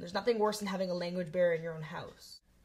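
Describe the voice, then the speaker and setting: A woman speaks with a Canadian accent at a medium pitch. Her voice is somewhat breathy. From Canada. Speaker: interviewee. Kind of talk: interview testimony.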